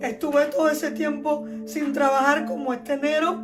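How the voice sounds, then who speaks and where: In a Cuban accent, a woman speaks fairly slowly at a high pitch, with audible room echo and music in the background. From Cuba, Holguín province. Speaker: youtuber, former teacher. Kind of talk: personal storytelling vlog.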